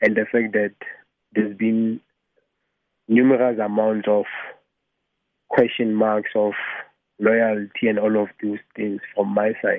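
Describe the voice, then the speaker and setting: A man at a fairly slow pace, with monotone, flat intonation and long, frequent pauses. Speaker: caller. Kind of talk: telling personal story. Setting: phone call.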